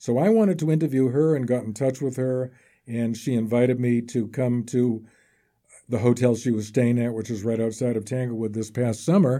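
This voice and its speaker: A man with a dark, mellow tone speaks at a medium pitch and a moderate pace, keeping his intonation fairly even. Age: 80s+. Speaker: author. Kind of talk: interview.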